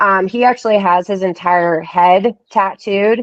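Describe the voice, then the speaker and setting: At a very slow pace, a woman talks at medium pitch with ordinary pitch variation. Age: 30s. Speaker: tattoo artist. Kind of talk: casual chat.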